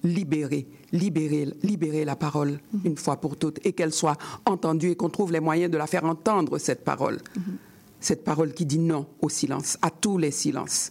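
This woman's voice is very deep and low, with a dark, mellow tone. She keeps a moderate pace, a fairly even intonation, and a very even loudness. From Haiti. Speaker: writer. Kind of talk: interview.

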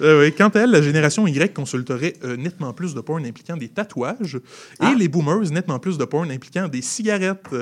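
A man's fairly high, fairly quick delivery with lively intonation, an ordinary speaking voice. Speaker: comedian radio panelist. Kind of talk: comedic news segment.

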